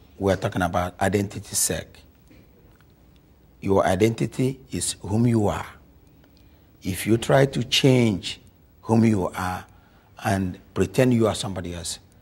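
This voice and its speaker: A man with an African accent speaks fairly slowly, leaving long, frequent pauses. His fairly low voice is somewhat breathy, with ordinary pitch variation. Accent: deep African. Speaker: African immigrant community speaker. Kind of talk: interview.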